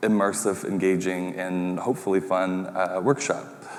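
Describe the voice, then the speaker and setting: A man's fairly low voice with a Canadian accent. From Red Lake, Ontario, Canada (Ojibwe). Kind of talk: pitch presentation. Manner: hesitant, many fillers.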